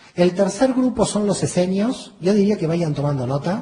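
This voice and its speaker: Lively intonation marks this man's plain, everyday voice. He speaks at a moderate pace. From Argentina, Buenos Aires. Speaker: theology lecturer. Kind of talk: lecture.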